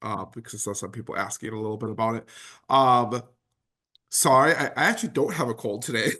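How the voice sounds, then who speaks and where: Medium-pitched male voice with a bright, sharp tone, fairly quick pace and fairly even intonation. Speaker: higher education administrator and consultant. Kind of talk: virtual symposium presentation. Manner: hesitant, many fillers.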